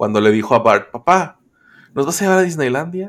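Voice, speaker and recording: With lively intonation, a man delivers his words in an animated tone. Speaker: podcast host. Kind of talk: casual chat.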